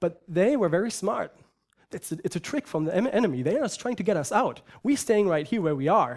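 On a very clean recording with a silent background, a man talks fairly quickly in a high voice with very wide pitch swings. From Germany. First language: German. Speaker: preacher. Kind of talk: sermon.

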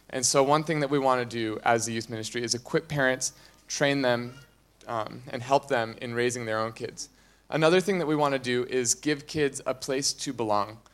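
In a very clean recording with a silent background, a man with an ordinary speaking voice talks at medium pitch, at a moderate pace and with fairly even intonation. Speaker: youth ministry coordinator. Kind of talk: church announcement talk. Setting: church.

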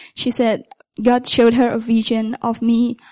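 Recorded dry and close with no echo, a woman speaks at a moderate pace in a fairly high pitch with a dark, mellow tone. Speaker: university student and baptism candidate. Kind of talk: testimony. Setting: church.

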